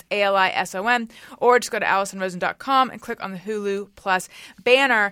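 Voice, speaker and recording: A woman with a bright, sharp tone at a fairly quick pace, ordinary pitch variation, and a very clean recording with a silent background. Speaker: podcast host. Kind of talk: casual chat. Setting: studio. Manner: animated, chatty.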